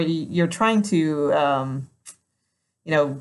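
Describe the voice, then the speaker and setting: A woman speaks with a nervous tone. Her pace is very slow. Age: 50s. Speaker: tarot reader. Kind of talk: tarot reading video. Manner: laughs often, nervous laughter; halting, many false starts.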